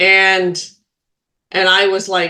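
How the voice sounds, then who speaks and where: The woman's voice is loud. It sounds bright and sharp. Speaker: spiritual healer and medium, podcast co-host. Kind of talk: casual chat.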